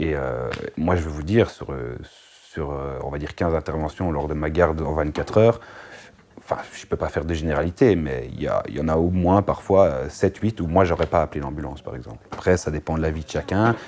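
A man with a very deep, low pitch, ordinary pitch variation and a fairly quick pace, over noticeable background noise. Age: 30s. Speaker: firefighter paramedic. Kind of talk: interview.

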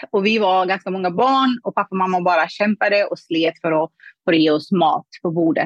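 A woman uses a normal speaking voice at medium pitch with ordinary pitch variation and very even loudness. Her pace is fairly quick, and the sound is dry and close with no echo. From Afghanistan. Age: 30s. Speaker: money mindset coach. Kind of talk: interview conversation.

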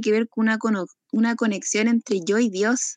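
A fairly slow delivery with a Chilean accent, dry and close with no echo, over a quiet background. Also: woman. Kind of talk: casual chat.

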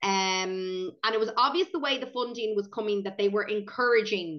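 The speaker has an Irish accent and a fairly quick pace. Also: woman. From Ireland, County Meath. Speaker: preschool owner and podcast co-host. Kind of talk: casual chat.

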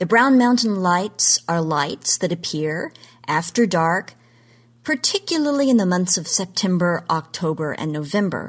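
Over a quiet background, a woman with an American accent speaks fairly slowly in an unremarkable speaking voice, at a medium pitch with lively intonation. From Oklahoma. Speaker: genre history commentator. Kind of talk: scripted segment talk.

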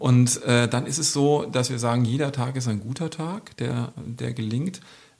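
His voice somewhat breathy, a man talks at a medium pitch with ordinary pitch variation. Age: 50s. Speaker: youth welfare worker. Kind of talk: casual interview.

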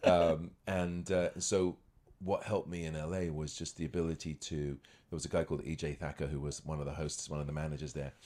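In a southern English accent, a man with a very deep, low voice talks at a fairly quick pace with fairly even intonation. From England, near London (born in Scotland). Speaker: magician and actor. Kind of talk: casual chat.

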